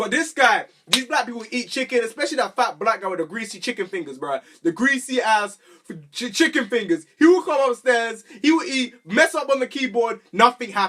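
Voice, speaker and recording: A man's raised, projected voice sits at an extremely high pitch. His tone is animated and his intonation lively. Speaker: YouTuber. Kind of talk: storytelling vlog. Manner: loud.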